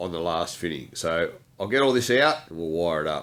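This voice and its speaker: A man with an Australian accent at a moderate pace, on a very clean recording with a silent background. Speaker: DIY workshop video maker. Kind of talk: tutorial.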